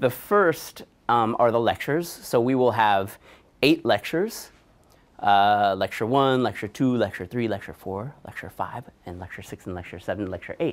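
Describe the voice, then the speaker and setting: A man speaks at a moderate pace with ordinary pitch variation. His loudness rises and falls sharply. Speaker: course lecturer. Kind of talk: lecture. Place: classroom. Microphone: lapel.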